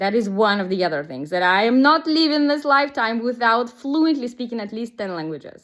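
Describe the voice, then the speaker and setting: A woman with a Russian accent talks at a fairly quick pace in a fairly high pitch, her intonation lively. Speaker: business coach. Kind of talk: casual vlog monologue. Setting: outdoors, walking.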